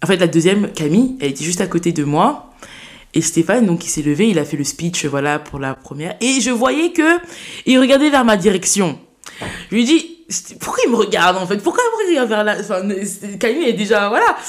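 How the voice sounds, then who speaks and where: Noticeable background noise beneath a voice of very wide pitch swings. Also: woman, medium pitch for a woman, moderate pace. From France, Saint-Denis (Paris suburbs). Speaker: student and eloquence contest winner. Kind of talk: interview conversation.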